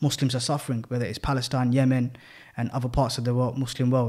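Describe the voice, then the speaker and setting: A man with a London accent speaks at a very fast pace on a very clean recording with a silent background. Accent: British urban, London. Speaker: podcast co-host. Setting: sharing a mic in studio.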